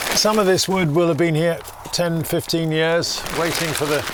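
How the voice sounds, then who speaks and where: There is audible room echo and noticeable background noise as a man talks in an English accent. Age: 60s. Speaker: bagpipe maker. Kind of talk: documentary interview. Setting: workshop. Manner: hesitant, with fillers.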